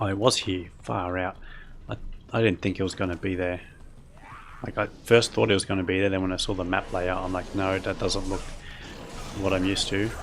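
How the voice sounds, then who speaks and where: With an Australian accent, the speaker keeps a fairly quick pace and fairly even intonation, broken by long, frequent pauses. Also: man, very deep, low pitch for a man. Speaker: video game streamer. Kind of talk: casual gameplay commentary. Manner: mumbly, words rolled together; relaxed, calm pace.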